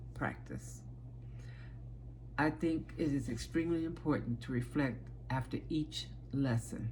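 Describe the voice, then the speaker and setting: A woman speaks with an American accent at a fairly slow pace. Audible room echo surrounds her voice. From Chicago, South Side. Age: 60s. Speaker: aspiring teacher, childcare worker. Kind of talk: self-presentation video. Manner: halting, with fillers.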